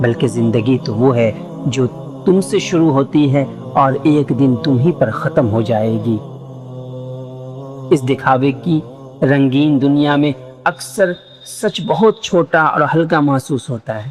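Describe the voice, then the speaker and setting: A man's fairly high voice with ordinary pitch variation, music playing in the background. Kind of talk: reflective life-lesson narration. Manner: emotional, reflective.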